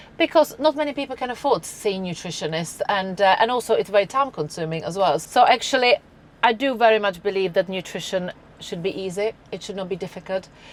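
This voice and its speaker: Speaking at a fairly quick pace, a woman with a Czech accent talks at medium pitch. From Czech Republic. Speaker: nutritionist. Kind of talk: podcast interview. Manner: halting, many restarts.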